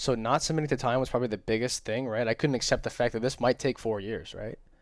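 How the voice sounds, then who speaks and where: The recording is very clean with a silent background. A man speaks very fast at medium pitch with fairly even intonation. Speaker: trading vlogger. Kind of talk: casual talk to camera.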